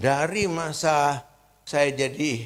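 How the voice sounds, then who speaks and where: This man's voice sits at a fairly high pitch. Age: 70s. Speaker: pastor. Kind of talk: sermon. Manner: conversational.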